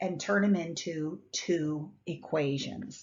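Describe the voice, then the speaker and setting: A somewhat breathy voice with a fairly low pitch belongs to the woman speaking. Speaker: math teacher. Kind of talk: classroom lecture. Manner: casual, conversational.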